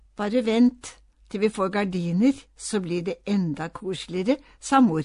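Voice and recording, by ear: Someone reads aloud in a natural voice.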